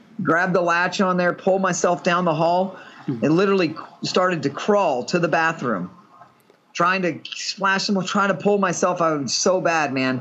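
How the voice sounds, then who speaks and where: A man speaks at a moderate pace in a high pitch. His pitch varies in an ordinary way, and there is noticeable background noise. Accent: Texan. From Texas. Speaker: patient living with a serious illness. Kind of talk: casual chat.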